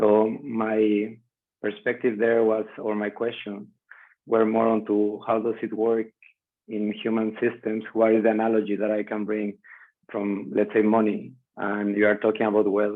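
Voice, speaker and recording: Someone with a Spanish accent speaks at a moderate pace with monotone, flat intonation. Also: man, fairly low pitch for a man. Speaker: biomimicry practitioner and content creator. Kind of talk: video call discussion. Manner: halting.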